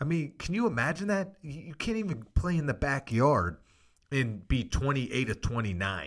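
A man with a normal speaking voice at a moderate pace, on a very clean recording with a silent background. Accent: American. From Pittsburgh, Pennsylvania. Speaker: former NFL quarterback, podcast host. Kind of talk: casual football analysis.

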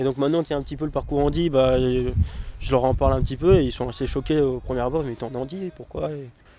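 The man's words come at a very fast pace over noticeable background noise. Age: 20s. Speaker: para-athlete, sprinter. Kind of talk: interview.

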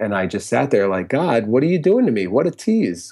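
With a Connecticut accent, a man talks at a moderate pace and medium pitch, his voice making very wide pitch swings. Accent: US Northeast (Connecticut) English. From Connecticut, Fairfield County. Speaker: music therapist and musician. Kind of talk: casual interview chat.

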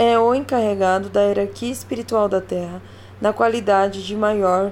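A woman speaks in a calm tone at a fairly slow pace. Noticeable background noise runs behind her. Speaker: podcast host reading an article aloud. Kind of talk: audiobook narration, reading an article aloud. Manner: even, calm, explanatory, formal-sounding reading pace; friendly and chatty when addressing listeners.

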